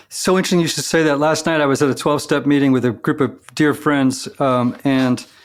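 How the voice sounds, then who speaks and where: A man talks in a plain, everyday voice, fairly high in pitch, with fairly even intonation. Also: very clean recording, silent background. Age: 60s. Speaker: podcast host. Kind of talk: interview conversation.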